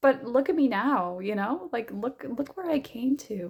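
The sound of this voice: A woman performs a hoarse, put-on character voice with a high pitch, lively intonation and a moderate pace.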